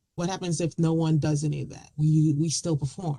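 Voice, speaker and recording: A woman speaks at a moderate pace in a very deep, low voice, somewhat breathy. Her tone is dark and mellow, her intonation fairly even. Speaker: poet. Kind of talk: talk about writing and performing poetry.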